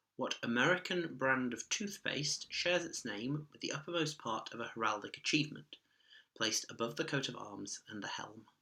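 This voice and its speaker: Bright and sharp in tone, a man's fairly high voice moves at a moderate pace with lively intonation and big swings in loudness. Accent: British. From UK. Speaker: online quiz host. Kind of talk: quiz reading.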